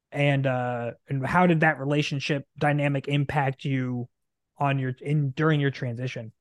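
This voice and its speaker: A man with a fairly high pitch speaks at a moderate pace with an American accent and monotone, flat intonation. The sound is dry and close with no echo. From US Midwest, Nebraska. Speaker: podcast host, army veteran. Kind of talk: interview conversation.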